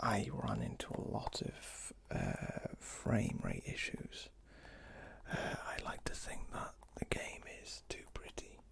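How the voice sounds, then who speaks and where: Noticeable background noise runs under whispering that moves at a very slow pace. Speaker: ASMR creator. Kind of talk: ASMR game review. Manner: soft-spoken, whispered.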